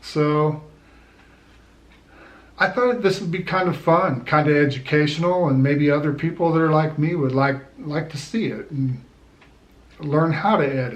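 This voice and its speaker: Somewhat breathy, a man speaks at a fairly slow pace with long, frequent pauses. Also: fairly high pitch for a man, ordinary pitch variation. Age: 60s. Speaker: army veteran. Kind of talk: casual talk to camera.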